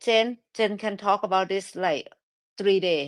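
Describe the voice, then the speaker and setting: The recording is very clean, with a silent background. A woman speaks at a medium pitch and a very slow pace. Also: dry, close sound with no echo. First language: Thai. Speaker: live stream host. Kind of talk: casual chat. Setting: live audio room.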